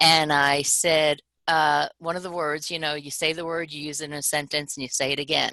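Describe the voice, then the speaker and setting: Against a quiet background, a woman with an American accent speaks with a very deep, low pitch and a bright, sharp tone. Her intonation is monotone and flat, at a moderate pace. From New York, Long Island. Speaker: leadership trainer, former teacher. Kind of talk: webinar presentation.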